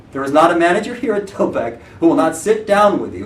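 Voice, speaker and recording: A loud voice with audible room echo and noticeable background noise. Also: man. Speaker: real estate branch manager. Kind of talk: motivational talk.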